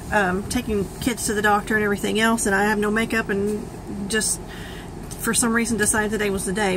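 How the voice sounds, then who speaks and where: A woman's fairly high, flat, monotone voice at a fairly quick pace, over noticeable background noise. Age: 40s. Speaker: vlogger sharing health journey. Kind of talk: personal testimony vlog. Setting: self-recorded video. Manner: hesitant, many fillers.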